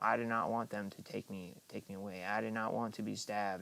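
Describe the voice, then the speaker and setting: A man's fairly low, monotone voice with flat intonation. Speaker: live streamer. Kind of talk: casual livestream monologue. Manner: slurred speech; halting, repetitive.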